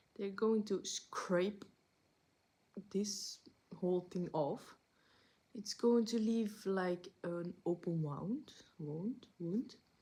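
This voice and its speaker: A woman's dark, mellow, somewhat breathy voice at a very slow pace, broken by long, frequent pauses. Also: medium pitch for a woman, ordinary pitch variation. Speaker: vlogger. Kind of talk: casual vlog update. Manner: halting, searching for words.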